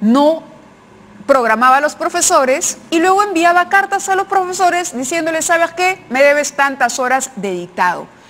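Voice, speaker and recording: Over noticeable background noise, a woman with an extremely high pitch speaks at a moderate pace with lively intonation. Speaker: TV news host. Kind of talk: TV news commentary.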